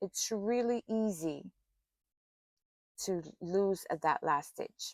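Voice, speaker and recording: Lively intonation in a dry, close sound with no echo. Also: woman. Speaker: crochet instructor. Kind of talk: tutorial. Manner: slow.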